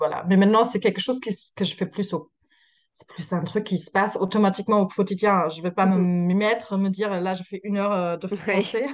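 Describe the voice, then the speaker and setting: In a slight German accent, a woman talks at a fairly quick pace with fairly even intonation. Her loudness swings widely against a quiet background. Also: medium pitch for a woman. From Germany. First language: German (speaking French). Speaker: social media creator. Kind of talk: interview. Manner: halting.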